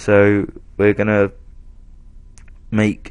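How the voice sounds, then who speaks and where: A man speaks with an English accent. His pace is very slow and his pitch fairly low. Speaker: gaming YouTuber. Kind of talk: gameplay voiceover. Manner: casual, rambling with fillers.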